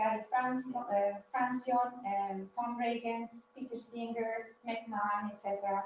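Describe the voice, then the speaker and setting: A fairly high-pitched woman with an Italian accent, at a moderate pace with fairly even intonation, amid noticeable background noise. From Italy. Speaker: PhD student speaker. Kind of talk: lecture. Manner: halting.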